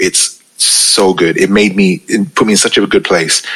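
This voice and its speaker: A man speaks with a London accent. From UK, Pakistani family. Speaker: DJ and radio presenter. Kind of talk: casual interview chat. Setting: remote recording call. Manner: calm, less hyped than on radio.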